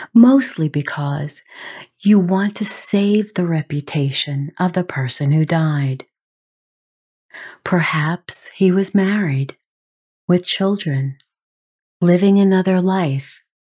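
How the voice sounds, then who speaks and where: A woman speaks very slowly in a gentle, somewhat breathy, dark and mellow voice, fairly low pitched, with long pauses that come often. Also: ordinary pitch variation. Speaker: podcast host. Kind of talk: podcast monologue on grief. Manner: gentle, compassionate.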